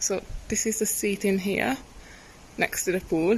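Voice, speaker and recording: There is light background noise behind this woman's voice. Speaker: travel vlogger. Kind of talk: casual vlog chat. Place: open country. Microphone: phone near.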